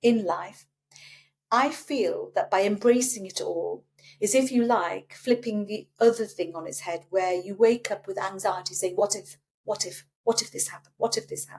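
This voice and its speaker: A woman at medium pitch and a moderate pace, with ordinary pitch variation and big swings in loudness. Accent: British. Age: 60s. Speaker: breast cancer survivor. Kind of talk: casual chat.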